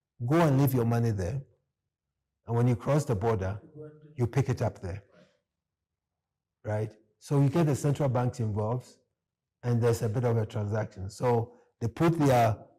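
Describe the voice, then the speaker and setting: A man with a medium pitch and a dark, mellow tone speaks at a moderate pace, somewhat breathy, with ordinary pitch variation. Long, frequent pauses stand out on a very clean recording with a silent background. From Ghana. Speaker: economist. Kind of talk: interview.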